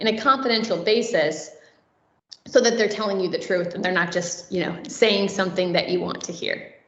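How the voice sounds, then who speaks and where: Amid audible room echo, a woman talks at a fairly quick pace with a medium pitch. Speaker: conference speaker. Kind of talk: conference talk. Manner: fast.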